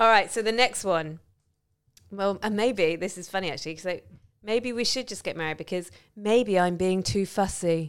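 On a very clean recording with a silent background, a woman talks at a moderate pace in a normal speaking voice. Her pitch is medium, with ordinary pitch variation. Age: 40s. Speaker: podcast host. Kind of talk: casual chat.

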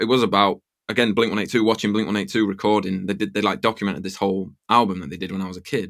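In a very clean recording with a silent background, a man with an English accent talks at a fairly low pitch with fairly even intonation. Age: 30s. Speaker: music producer. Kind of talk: interview.

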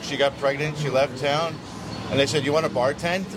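Noticeable background noise sits behind a man with an American accent. His fairly high pitch stays monotone, with flat intonation. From New Jersey. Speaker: bartender. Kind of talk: casual chat.

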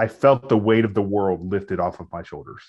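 Speaking at a fairly quick pace with an American accent, a man with an unremarkable speaking voice keeps a fairly low pitch and fairly even intonation. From US Midwest. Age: 30s. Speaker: pastor and podcast co-host. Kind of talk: casual conversation.

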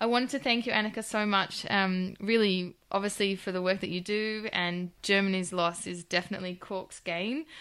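Speaking in an Australian accent, a woman with a medium pitch sounds enthusiastic at a moderate pace. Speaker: podcast host and chiropractor. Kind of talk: interview. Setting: remote call.

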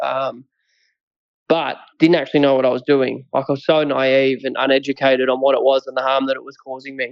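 In an Australian accent, a man speaks fairly quickly at a medium pitch with monotone, flat intonation and big swings in loudness. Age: 20s. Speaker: mental health advocate, recovered addict. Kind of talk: interview, personal story.

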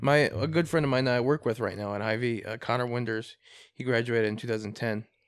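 A man with a Midwestern US accent, very fast, medium in pitch, with fairly even intonation over a quiet background. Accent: US Midwest. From Iowa, Des Moines area. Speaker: podcast co-host. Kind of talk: casual chat.

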